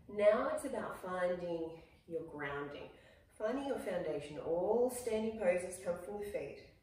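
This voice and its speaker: Lively intonation from a woman at a fairly slow pace, with audible room echo. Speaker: yoga instructor. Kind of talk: guided yoga class, calm instructional cueing. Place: home room. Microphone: camera far.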